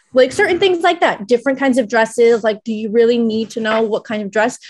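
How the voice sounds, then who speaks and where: Animated and fairly quick, a woman speaks against a quiet background. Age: 30s. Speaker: wedding planner. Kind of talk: interview. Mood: relaxed, chatty. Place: home room. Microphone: video call.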